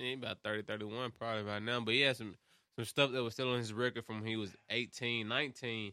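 Speaking at a very fast pace in a Memphis accent, a man has a medium pitch and fairly even intonation. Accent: Southern US, Memphis. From Memphis, Tennessee. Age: 20s. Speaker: podcast host. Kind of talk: casual chat.

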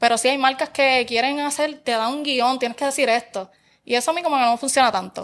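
A woman's high-pitched voice, fairly quick and fairly even in intonation, in a very clean recording with a silent background. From Puerto Rico, Barranquitas. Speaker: social media content creator. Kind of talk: casual chat.

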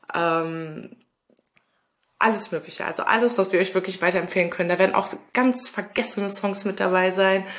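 Moderately paced speech from a woman at a medium pitch, in an unremarkable speaking voice. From Ruhr area, Germany (Lünen near Dortmund). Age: 30s. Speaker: podcast co-host. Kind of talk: casual podcast intro.

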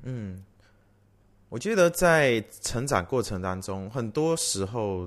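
A man speaks very slowly at a medium pitch, his pitch swinging very widely against a quiet background. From Malaysia. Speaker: worship leader and singer. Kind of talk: testimony.

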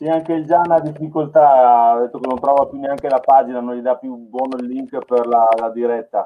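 A man's unremarkable speaking voice at medium pitch, with fairly even intonation, a moderate pace and hardly any pauses. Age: 40s. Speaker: filmmaker. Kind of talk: casual chat.

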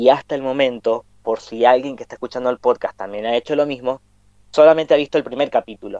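Talking very fast with a Cuyo Argentine accent, a man with a dark, mellow tone swings widely in loudness, in a dry, close sound with no echo. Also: medium pitch for a man. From Argentina, Mendoza. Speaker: podcast host. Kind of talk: casual chat.

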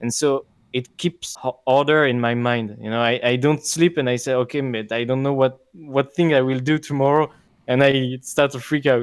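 At a moderate pace, a man with a non-native accent speaks at medium pitch with fairly even intonation. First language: not English. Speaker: podcast host. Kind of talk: casual chat. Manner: hesitant, filler words.

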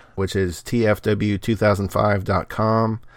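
A man speaks at a fairly slow pace in a fairly low pitch, with a normal speaking voice, on a very clean recording with a silent background. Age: 40s. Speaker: podcast co-host and editor. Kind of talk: casual chat.

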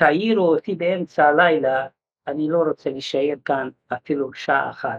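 This man's voice is fairly high, and he takes a fairly slow pace. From Hungary. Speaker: Holocaust survivor. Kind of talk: testimony. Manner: halting.

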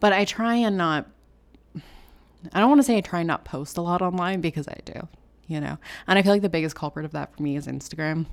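On a very clean recording with a silent background, a woman with a Canadian accent and a normal speaking voice talks at a fairly quick pace and fairly low pitch, with ordinary pitch variation and big swings in loudness. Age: 20s. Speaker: podcast co-host. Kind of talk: casual chat. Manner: casual, lots of filler words.

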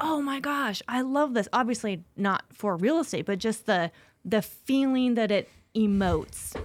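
This woman has an ordinary speaking voice with an American accent and ordinary pitch variation. She speaks at a moderate pace on a very clean recording with a silent background. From Spokane, Washington. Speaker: real estate agent. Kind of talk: casual chat.

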